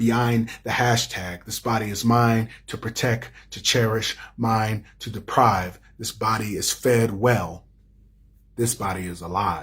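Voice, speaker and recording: The voice is an ordinary speaking voice, moving at a fairly slow pace. Its intonation stays fairly even while the loudness swings widely. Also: man, medium pitch for a man. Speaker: poet and playwright. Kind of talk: spoken word poetry performance. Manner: rhythmic.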